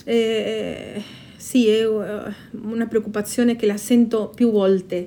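A woman speaks at a very slow pace in a Spanish accent. Her voice sits at a fairly high pitch, with a dark, mellow tone. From Patagonia, Argentina. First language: Spanish (speaking Italian). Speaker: intercultural educator and storyteller. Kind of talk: interview answers with stories read aloud. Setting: live event at a festival.

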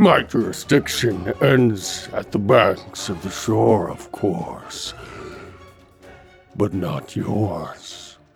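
This man uses a put-on character voice, fairly low-pitched and very slow, with faint music playing in the background. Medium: audio drama. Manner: unctuous, flattering.

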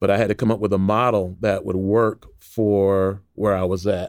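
Recorded very cleanly against a silent background, a man speaks with an American accent at a fairly low pitch. His intonation is monotone and flat. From Illinois, Waukegan (north of Chicago). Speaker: author and nonprofit entrepreneur. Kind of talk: interview.

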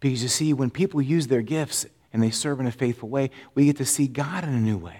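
In a very clean recording with a silent background, a man with an American accent and a dark, mellow tone speaks at a fairly quick pace with lively intonation. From Florida. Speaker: pastor. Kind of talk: sermon.

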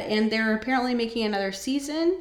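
A woman with a West Coast US accent amid noticeable background noise. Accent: General American (West Coast). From Northern California. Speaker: podcast host. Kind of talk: casual solo monologue. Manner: casual, with many filler words.

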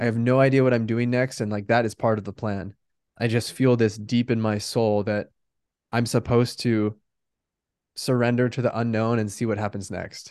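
Against a quiet background, a man talks at a moderate pace and medium pitch in a monotone, flat intonation. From US Pacific Northwest (Bend, Oregon). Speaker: life coach. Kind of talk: interview.

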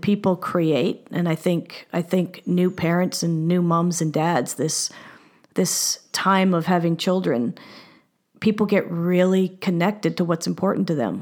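A woman with a normal speaking voice talks at a fairly slow pace and a fairly low pitch, with ordinary pitch variation. The recording is very clean with a silent background, and her loudness stays very even. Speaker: business executive and business designer. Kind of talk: casual interview.

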